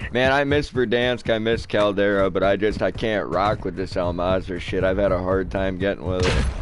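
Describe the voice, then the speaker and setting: A man's fairly low voice with an American accent, ordinary pitch variation and hardly any pauses, over noticeable background noise. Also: moderate pace. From Michigan. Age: 20s. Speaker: gaming streamer. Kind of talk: casual chat. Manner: animated.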